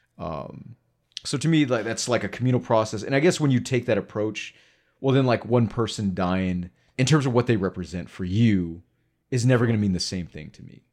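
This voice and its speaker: At a fairly quick pace, a man with a plain, everyday voice speaks at medium pitch with lively intonation. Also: very clean recording, silent background. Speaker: podcast host.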